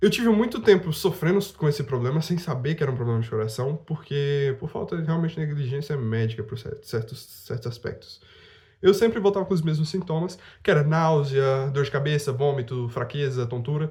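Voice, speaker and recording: A man with a fairly high pitch speaks at a fairly quick pace with lively intonation. His voice is somewhat breathy. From Brazil, Rondônia. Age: 20s. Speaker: youtuber. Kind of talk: casual vlog monologue.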